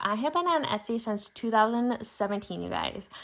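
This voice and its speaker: In an ordinary speaking voice, a woman with an American accent speaks at a fairly high pitch with ordinary pitch variation, on a very clean recording with a silent background. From Michigan, US Midwest. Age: 30s. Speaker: budgeting YouTuber. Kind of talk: casual chat. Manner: chatty, with fillers.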